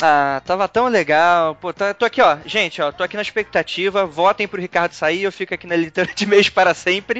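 In a Carioca accent, a man speaks at a fairly quick pace with hardly any pauses, using a high pitch, ordinary pitch variation and a bright, sharp tone, recorded dry and close with no echo. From Rio de Janeiro. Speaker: podcast host. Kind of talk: casual chat.

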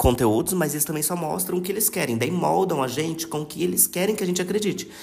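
Vocal fry runs through this man's fairly high voice, which shows ordinary pitch variation. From Brazil, São Paulo state (Taubaté). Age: 20s. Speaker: podcast guest. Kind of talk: casual chat.

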